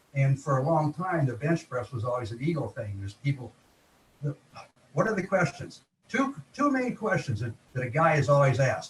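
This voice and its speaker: Somewhat breathy and fairly high in pitch, a man speaks at a moderate pace with lively intonation. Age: 70s. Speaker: veteran bodybuilder. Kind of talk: interview conversation. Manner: halting, many fillers.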